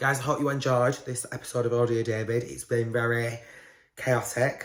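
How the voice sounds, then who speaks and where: At a moderate pace, a man with a British accent talks at a medium pitch in a monotone, flat intonation. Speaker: podcast host. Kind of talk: casual chat.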